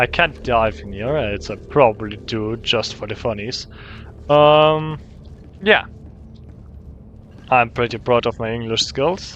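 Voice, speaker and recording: With music in the background, a man with a German accent speaks at a medium pitch and a fairly slow pace. His intonation is lively, broken by long, frequent pauses. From Germany. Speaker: gaming YouTuber. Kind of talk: gameplay commentary. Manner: halting.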